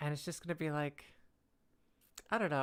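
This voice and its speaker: A woman's very deep, low voice in a relaxed tone, on a very clean recording with a silent background. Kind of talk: casual talk to camera, giving dating advice in a live stream. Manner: relaxed, conversational.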